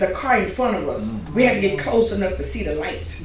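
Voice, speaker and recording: A woman speaks in a space with audible room echo. There is light background noise as well. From Louisiana. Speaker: pastor's wife, church speaker; pastor's wife, speaker. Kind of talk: church talk, testimony. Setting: church. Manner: casual, halting. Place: church. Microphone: podium.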